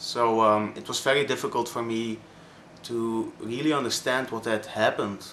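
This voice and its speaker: A man with a Flemish Belgian accent at a fairly slow pace. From Belgium (Flanders). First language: Dutch (Flemish). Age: 20s. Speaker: vlogger. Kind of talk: personal testimony vlog. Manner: halting, many fillers.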